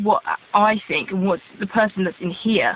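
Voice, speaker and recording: Noticeable background noise surrounds a woman with an English accent. Her voice has a medium pitch. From England (born in Israel, raised in England from age 3-4). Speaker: vlogger. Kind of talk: casual vlog monologue.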